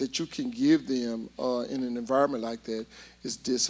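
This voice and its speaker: A man with an Alabama accent. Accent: Southern US (Alabama). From US South, Huntsville, Alabama. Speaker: inner-city learning center director. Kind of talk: interview. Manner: loud.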